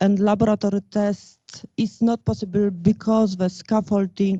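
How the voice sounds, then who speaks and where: Her medium-pitched voice is dark, mellow and somewhat breathy, moving at a fairly slow pace in a dry, close sound with no echo. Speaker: conference speaker, engineering researcher. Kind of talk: lecture. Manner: halting, many hesitations.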